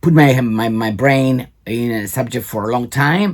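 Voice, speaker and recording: A man with a Cypriot accent speaks at a very slow pace and medium pitch, with ordinary pitch variation. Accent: Greek Cypriot. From Cyprus. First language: Greek. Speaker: video blogger. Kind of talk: commentary on a recording. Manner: halting.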